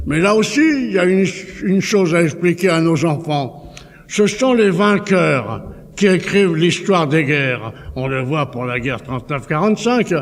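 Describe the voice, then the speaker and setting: Speech at a fairly slow pace carries lively intonation above noticeable background noise. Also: man, high pitch for a man. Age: 80s+. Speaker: political speaker. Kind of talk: public speech. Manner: halting, repeats words.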